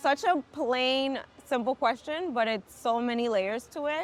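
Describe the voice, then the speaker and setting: Loud, lively intonation comes at a very slow pace with long, frequent pauses. Music plays in the background. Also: woman. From New York City, Dominican American. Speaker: tech professional. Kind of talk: casual interview chat.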